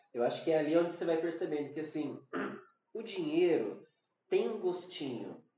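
There is audible room echo around this man's voice. He talks at a high pitch with lively intonation. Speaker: podcast co-host. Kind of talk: casual chat.

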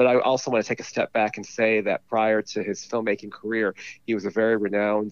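A man with a Californian accent talks at a fairly quick pace in a fairly low pitch, his intonation monotone and flat. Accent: Californian American. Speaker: film blogger guest. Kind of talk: casual film review interview. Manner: halting, with filler words and repeats.

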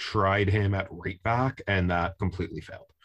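Fairly low in pitch, this man has a plain, everyday voice and a fairly even intonation. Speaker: podcast host and soccer fan. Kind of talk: casual chat.

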